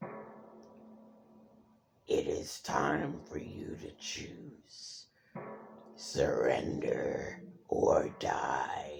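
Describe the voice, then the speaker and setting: Very slowly, a man drags out his words. He is doing a raspy, put-on character voice. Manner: menacing.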